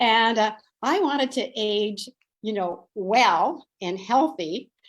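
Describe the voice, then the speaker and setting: A woman speaks with lively intonation. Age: 70s. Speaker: dietitian. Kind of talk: webinar presentation.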